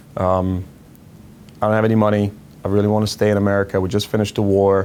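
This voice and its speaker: Very fast speech in a Croatian accent, monotone and flat in intonation, with very even loudness. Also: man, fairly low pitch for a man. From Croatia, Zagreb. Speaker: financial education founder. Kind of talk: personal story interview.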